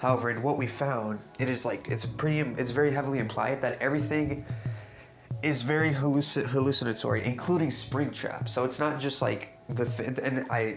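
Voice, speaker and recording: Over background music and audible room echo, a man with a medium pitch speaks at a fairly quick pace, his intonation fairly even and his loudness very even. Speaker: YouTuber, game theory commentator. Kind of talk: video essay monologue. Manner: halting, many false starts.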